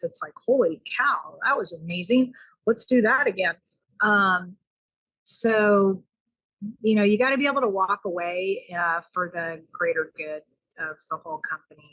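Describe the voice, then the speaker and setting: With an American accent, a woman speaks in an unremarkable speaking voice at a medium pitch, using lively intonation and a moderate pace. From US South. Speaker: caterer and restaurant owner. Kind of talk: interview podcast.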